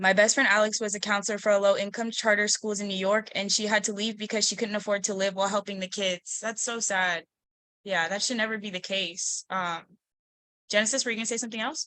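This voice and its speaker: A woman at medium pitch, bright and sharp in tone, at a fairly quick pace with monotone, flat intonation. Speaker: discussion host. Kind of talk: group video call discussion. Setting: video call. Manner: stutters, trips over words; fast.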